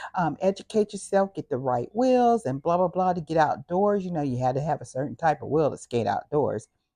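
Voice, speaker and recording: Music plays behind a woman whose voice sits fairly low and moves in very wide pitch swings. She keeps a moderate pace, and the sound is dry and close with no echo. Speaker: YouTube vlogger. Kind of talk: personal monologue. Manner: casual, with fillers.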